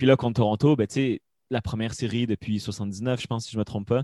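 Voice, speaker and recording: A man talks at a very fast pace in a medium pitch with fairly even intonation, and the recording is very clean with a silent background and a dry, close sound with no echo. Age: 20s. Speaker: hockey commentator. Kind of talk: casual chat.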